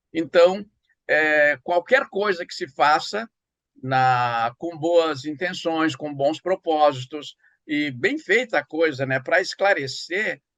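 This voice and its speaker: A man talks at a very slow pace. His pitch is fairly high and varies in an ordinary way. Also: dry, close sound with no echo. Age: 70s. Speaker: writer and professor. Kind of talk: interview. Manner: halting.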